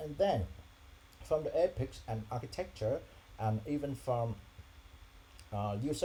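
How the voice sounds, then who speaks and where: A man keeps a moderate pace but leaves long, frequent pauses. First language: not English. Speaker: software developer vlogger. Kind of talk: screen-share tutorial vlog. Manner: halting with fillers.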